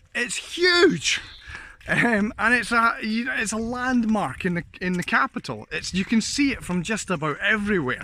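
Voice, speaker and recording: A man with a Scottish accent speaks in a raised, projected voice with a high pitch. His tone is bright and sharp, and his pitch swings very widely. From Scotland. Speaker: vlogger. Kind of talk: casual vlog chat. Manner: casual, meandering.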